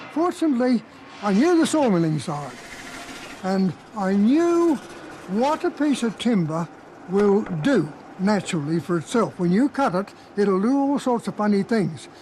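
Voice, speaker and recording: A man's high voice with very wide pitch swings, a moderate pace, long and frequent pauses, and noticeable background noise. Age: 80s+. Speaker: sawmiller. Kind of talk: interview. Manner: halting.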